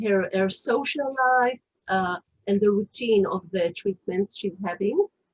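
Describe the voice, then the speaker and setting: With an Israeli accent, a woman speaks at a fairly slow pace in a somewhat breathy voice with ordinary pitch variation. The sound is dry and close, with no echo. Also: medium pitch for a woman. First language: Hebrew. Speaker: author. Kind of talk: interview. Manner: halting, many fillers.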